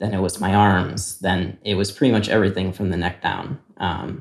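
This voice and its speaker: A man's fairly low voice with an American accent in a very clean recording with a silent background. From US Midwest, Naperville, Illinois. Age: 30s. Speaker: interviewee telling his life story. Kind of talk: personal testimony. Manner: hesitant, many fillers.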